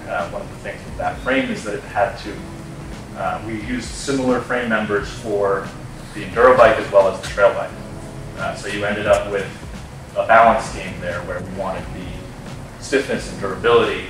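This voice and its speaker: A man talks at a fairly quick pace, his loudness swinging widely. Faint music plays in the background, and the room echo is audible. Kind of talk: interview answer. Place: workshop.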